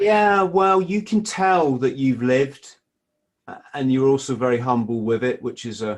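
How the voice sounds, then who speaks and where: With an English accent, the speaker moves at a moderate pace through very wide pitch swings. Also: man, medium pitch for a man. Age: 50s. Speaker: former marine, author. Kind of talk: casual interview chat. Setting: Skype call.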